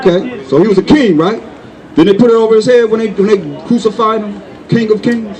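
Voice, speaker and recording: The man's pitch is high, with ordinary variation. He speaks fairly quickly over noticeable background noise. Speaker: religious teacher. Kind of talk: religious debate.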